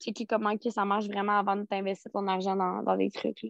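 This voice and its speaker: A woman with a fairly high pitch and monotone, flat intonation. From Quebec, Rimouski. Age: 20s. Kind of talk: casual interview. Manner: hesitant, many fillers.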